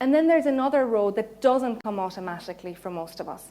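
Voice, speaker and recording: A woman with an Irish accent talks at a fairly quick pace in a fairly high voice. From Ireland, Cork. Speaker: counselling psychologist giving mindfulness talk. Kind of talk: public talk.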